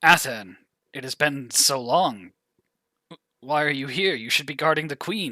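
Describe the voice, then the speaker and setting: Using a put-on character voice, a man speaks fairly high with big swings in loudness. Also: moderate pace. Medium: actual play. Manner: stammering, bewildered.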